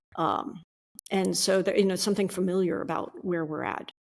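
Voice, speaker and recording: A fairly quick pace with fairly even intonation. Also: woman. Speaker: psychologist and performance coach. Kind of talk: podcast interview. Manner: fast.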